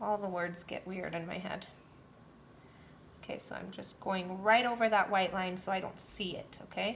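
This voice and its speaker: Delivery is monotone and flat at a moderate pace, with vocal fry. Loudness swings widely, and long pauses come often. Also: woman, medium pitch for a woman. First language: not English. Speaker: painting instructor. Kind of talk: tutorial. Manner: casual, chatty.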